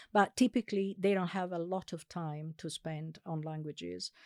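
A woman with an Italian accent speaks at a fairly low pitch with fairly even intonation, the sound dry and close with no echo, in a very clean recording with a silent background. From Italy, Sardinian family. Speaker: linguistics professor. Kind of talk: interview. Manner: hesitant, many fillers.

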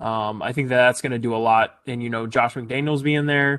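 Against a quiet background, a man speaks at a fairly quick pace in a medium pitch. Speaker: sports podcast host. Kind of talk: casual chat. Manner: halting, filler-heavy.

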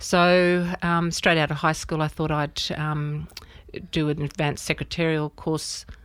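A woman speaks with an Australian accent at a very deep, low pitch. Her intonation stays monotone and flat. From Australia, rural New South Wales near Albury. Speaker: artist. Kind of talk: interview.

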